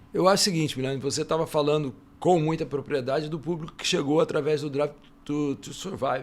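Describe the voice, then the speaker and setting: Very fast, fairly high-pitched speech from a man keeps to fairly even intonation. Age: 60s. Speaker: motorsport journalist. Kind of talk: casual panel debate.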